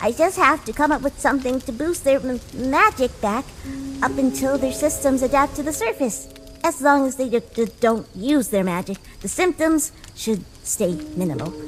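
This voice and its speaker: A put-on character voice, female-sounding and high-pitched for a woman, at a moderate pace over clear background noise. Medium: audio drama. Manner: stuttering, nervous.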